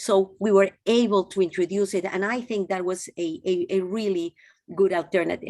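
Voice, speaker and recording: In a Peruvian accent, a woman speaks with a dark, mellow tone in a dry, close sound with no echo. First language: Spanish. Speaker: physician and former health minister. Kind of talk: interview. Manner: halting, with restarts.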